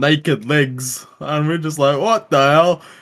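A man talks with an Australian accent. He keeps a fairly slow pace. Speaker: podcast co-host. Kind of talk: casual chat.

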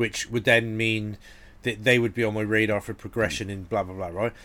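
In a Brummie accent, a man talks at a fairly quick pace. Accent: Brummy (Birmingham). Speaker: podcast host. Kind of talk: casual chat.

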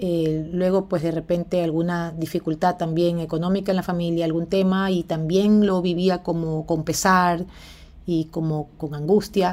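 The speech comes at a fairly slow pace in a monotone, flat intonation on a very clean recording with a silent background. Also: woman, fairly low pitch for a woman. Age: 30s. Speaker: former TV presenter and businesswoman. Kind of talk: interview conversation.

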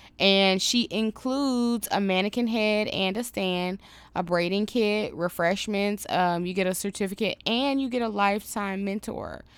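A woman speaks in an ordinary speaking voice at a medium pitch and a moderate pace, with fairly even intonation and hardly any pauses. The recording is very clean with a silent background. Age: 30s. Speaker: podcast host. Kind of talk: casual chat.

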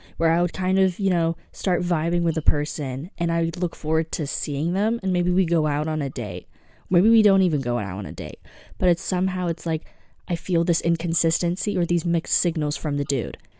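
A woman speaks fairly quickly with a fairly low pitch and a dark, mellow tone. Her pitch varies in an ordinary way. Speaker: podcast co-host. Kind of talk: casual chat. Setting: remote recording, hosts in different time zones. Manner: low-energy.

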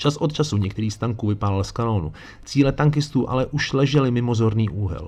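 A man speaks at a medium pitch and a very fast pace. His tone is dramatic and solemn. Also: ordinary pitch variation. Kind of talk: history documentary narration. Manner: dramatic, measured storytelling pace with a solemn tone; formal, chapter-by-chapter narration, occasionally conversational asides.

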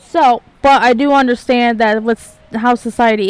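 A woman with a plain, everyday voice speaks at a moderate pace and fairly high pitch, her intonation fairly even, dry and close with no echo. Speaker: podcast co-host. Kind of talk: casual chat.

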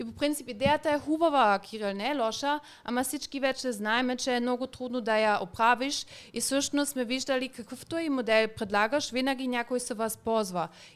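The recording is very clean with a silent background. A woman speaks at a high pitch and a moderate pace with ordinary pitch variation. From eastern Germany. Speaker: model and podcast co-host. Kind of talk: casual chat.

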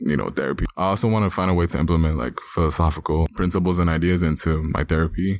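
Delivered at a very fast pace, the speech carries an American accent and fairly even intonation. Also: man. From Los Angeles. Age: 20s. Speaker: podcast co-host, student. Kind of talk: casual chat.

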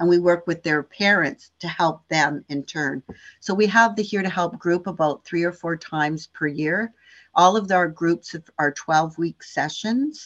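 A woman's fairly low voice, an ordinary speaking voice, at a fairly slow pace with ordinary pitch variation and a dry, close sound with no echo. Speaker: social service agency representative. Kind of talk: interview answers.

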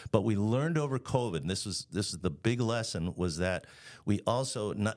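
In an ordinary speaking voice, a man with an American accent talks at a moderate pace and a fairly low pitch with lively intonation, on a very clean recording with a silent background. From Long Island, New York. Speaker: arts center executive director. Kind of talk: casual interview chat.

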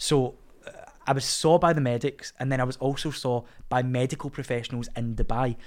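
With a Glaswegian accent, a man talks at a fairly quick pace in a medium-pitched voice. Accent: Glaswegian Scottish. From Scotland, Glasgow (Cambuslang). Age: 20s. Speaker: theatre school owner and TV reality contestant. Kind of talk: casual interview. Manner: animated.

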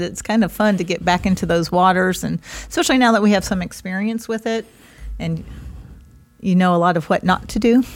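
This is a plain, everyday voice. It keeps a moderate pace and ordinary pitch variation. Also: woman. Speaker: podcast co-host. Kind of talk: casual chat. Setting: studio. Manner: laughs often.

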